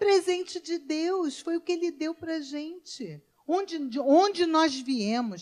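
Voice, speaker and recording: The speaker has a strong Rio de Janeiro accent and talks at a very slow pace. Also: woman. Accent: Rio de Janeiro (carioca) accent, still strong. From Brazil, Rio de Janeiro. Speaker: pastor. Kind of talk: sermon. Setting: church.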